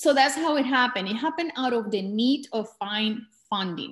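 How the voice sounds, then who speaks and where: A woman with a Spanish accent speaks at a moderate pace in a somewhat breathy voice, with ordinary pitch variation. The recording is very clean, with a silent background. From Colombia, border town near Venezuela. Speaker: documentary filmmaker. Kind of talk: talk to filmmakers. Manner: halting.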